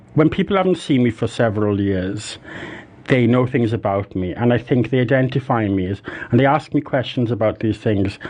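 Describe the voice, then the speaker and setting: Talking at a fairly quick pace, a man with a Welsh accent has a medium pitch and ordinary pitch variation. Noticeable background noise runs underneath. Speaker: musician, former psychotherapist. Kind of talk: candid interview. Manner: halting.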